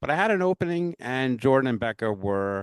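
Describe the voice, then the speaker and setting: Against a quiet background, a man with a strong New York accent speaks at a medium pitch in a dry, close sound with no echo. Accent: New York accent, currently strong. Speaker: pinball podcast host. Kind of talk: casual podcast chat and outro. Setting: virtual recording.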